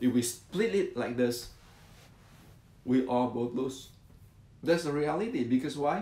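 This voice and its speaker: A man's dark, mellow tone at a fairly slow pace, with ordinary pitch variation and audible room echo. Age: 60s. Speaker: martial arts teacher. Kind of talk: educational talk. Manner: halting, repetitive.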